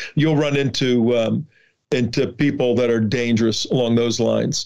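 A man with a New Jersey accent talks at a moderate pace. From New Jersey (Newark). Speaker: border activist and documentary producer. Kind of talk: interview.

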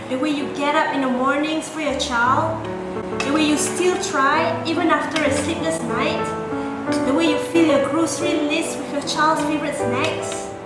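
Over loud background music, a woman speaks fairly slowly with audible room echo. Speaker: spoken word poet. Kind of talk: spoken word poetry. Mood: warm, heartfelt. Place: home room.

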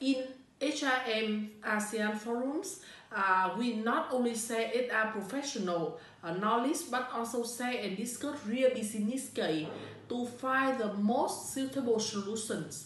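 A woman's fairly high voice with a Vietnamese accent, fairly slow delivery and ordinary pitch variation, plus audible room echo and light background noise. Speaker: HR manager. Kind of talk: testimonial. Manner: halting. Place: office. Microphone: phone near.

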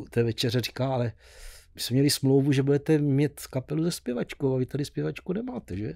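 A man with a dark, mellow tone talks fairly quickly in a South Moravian accent. His pitch varies in an ordinary way, and the background is quiet. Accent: Blansko regional dialect. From Blansko, South Moravia, Czechia; South Moravia, Czechia. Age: 70s. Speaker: musician; podcast guest. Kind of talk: casual interview. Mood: cheerful, laughing. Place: studio. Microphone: studio mic.

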